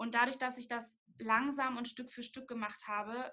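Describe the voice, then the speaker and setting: A woman with a high pitch uses a raised, projected voice and a bright, sharp tone. Her intonation stays fairly even at a moderate pace. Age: 20s. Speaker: nutrition student and blogger. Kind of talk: interview.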